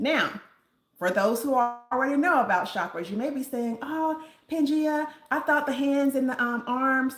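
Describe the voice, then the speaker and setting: Her intonation lively and her tone animated, a woman is speaking. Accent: Southern US. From US South, Nashville, Tennessee. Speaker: reiki healer and sound therapist. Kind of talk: live stream talk with chat. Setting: live stream.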